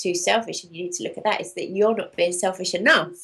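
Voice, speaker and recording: With a London accent, a woman talks at a very fast pace, at medium pitch with ordinary pitch variation. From London, England. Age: 40s. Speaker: raw food author and coach. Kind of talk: interview.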